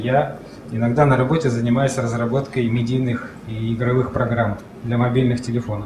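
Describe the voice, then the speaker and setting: This man talks at an average tempo, with clear background noise and room reverberation both audible. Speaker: conference speaker, app developer. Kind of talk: conference talk. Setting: stage with audience. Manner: halting.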